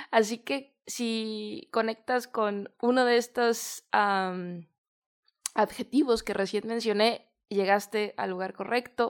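Speaking at a very slow pace, a woman with a Mexican accent keeps a fairly high pitch and fairly even intonation on a very clean recording with a silent background. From Mexico. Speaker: podcast host. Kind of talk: motivational monologue. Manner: warm, informal.

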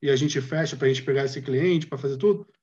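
A man with a somewhat breathy voice speaks, his pitch varying in an ordinary way. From Brazil, Rio de Janeiro. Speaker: industrial designer. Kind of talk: casual chat.

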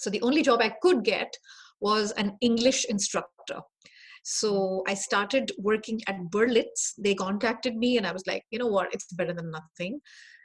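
Somewhat breathy, a woman with a fairly high pitch talks at a moderate pace with ordinary pitch variation. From India. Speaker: HR director and career strategist. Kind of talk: interview conversation.

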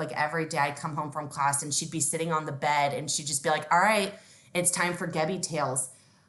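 A woman's very deep, low voice with an American accent, over noticeable background noise. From Texas, Houston. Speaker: regional sales director. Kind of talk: casual interview. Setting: at home, remote call.

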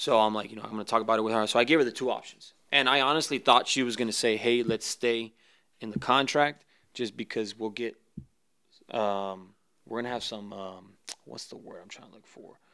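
A man's bright, sharp voice with an American accent, medium in pitch, with fairly even intonation, big swings in loudness and a fairly quick pace, in a very clean recording with a silent background. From US South, Mexican border region. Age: 30s. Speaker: professional football kicker. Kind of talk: casual interview.

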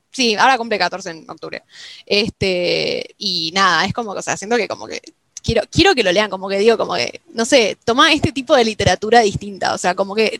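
Speaking at a fairly quick pace, a woman with a Rioplatense accent has a medium pitch and ordinary pitch variation. The sound is dry and close, with no echo. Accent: Argentine Rioplatense Spanish. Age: young. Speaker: podcast host. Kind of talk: casual chat. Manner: halting.

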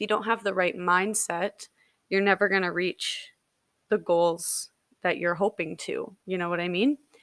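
Recorded dry and close with no echo, a woman at medium pitch speaks at a moderate pace with fairly even intonation. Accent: Canadian. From Canada, British Columbia. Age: 20s. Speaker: podcast host. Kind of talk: casual monologue.

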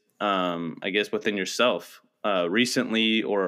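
A man with a normal speaking voice and a fairly low pitch keeps a fairly even intonation. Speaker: podcast co-host. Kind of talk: casual chat.

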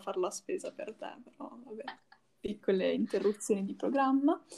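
Fairly quick in pace, a woman with a fairly high pitch speaks in an unremarkable speaking voice. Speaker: podcast co-host. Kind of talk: casual chat.

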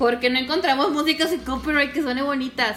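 Noticeable background noise can be heard while a woman talks. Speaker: podcast co-host. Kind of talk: casual chat.

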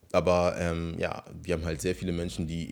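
This man has a very deep, low voice and fairly even intonation. He talks at a fairly quick pace on a very clean recording with a silent background. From northern Germany, near Hamburg. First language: Ewe (speaking German). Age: 30s. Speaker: personal trainer and YouTuber. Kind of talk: casual solo monologue. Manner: hesitant, many filler sounds.

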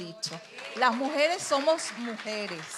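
A woman's fairly slow, lively-intoned speech, with audible room echo and noticeable background noise. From Venezuela, Trujillo (Andes). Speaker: retired university worker, church marriage ministry leader. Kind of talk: testimony. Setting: church pulpit.

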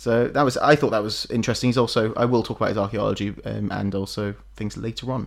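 With an American accent and vocal fry, the speaker talks at a very fast pace with hardly any pauses and fairly even intonation. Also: man, medium pitch for a man. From United States. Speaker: podcast host. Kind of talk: casual chat.

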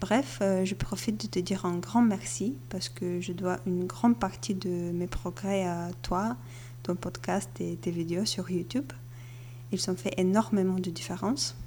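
Speaking with a Bulgarian accent at a fairly slow pace, a woman uses a fairly low pitch with very wide pitch swings, vocal fry and a dark, mellow tone. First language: Bulgarian (speaking French). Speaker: podcast listener. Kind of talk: recorded voice message.

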